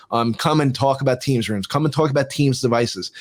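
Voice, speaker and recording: A man with a New Jersey accent at medium pitch, very fast, with fairly even intonation. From US Northeast, New Jersey. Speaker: tech expert, former TV producer. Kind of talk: casual interview chat. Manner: halting, repeats words.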